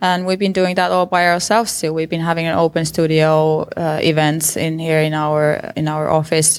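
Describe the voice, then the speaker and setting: In a Finnish accent, a woman talks at a moderate pace with a fairly low pitch and monotone, flat intonation on a very clean recording with a silent background. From Finland. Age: 30s. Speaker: visual artist. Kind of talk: interview. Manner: hesitant, with repetitions.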